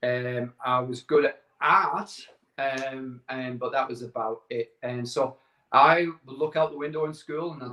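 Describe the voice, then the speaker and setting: Speaking with a northern English accent, a man keeps a medium pitch and fairly even intonation. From northern England, Barrow-in-Furness, Cumbria. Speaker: entrepreneur sharing life story. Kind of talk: casual interview.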